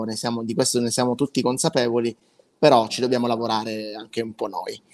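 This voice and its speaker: Music plays faintly behind the speech. The voice is a man's. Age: 20s. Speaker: web marketing consultant, former musical performer; guest. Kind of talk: interview, pitch. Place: home room.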